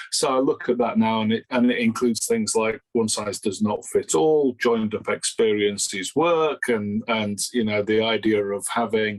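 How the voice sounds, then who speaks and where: With a Yorkshire accent, a man talks at a moderate pace and medium pitch, barely pausing, his intonation fairly even. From Yorkshire, northern England. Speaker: learning and development consultant, author. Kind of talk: interview. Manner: hesitant, repeats words.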